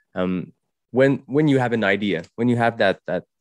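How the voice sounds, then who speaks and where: With a strong French Canadian accent, a man speaks at a moderate pace and with ordinary pitch variation. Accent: thick French Canadian accent in English. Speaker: podcast host. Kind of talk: podcast interview. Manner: halting.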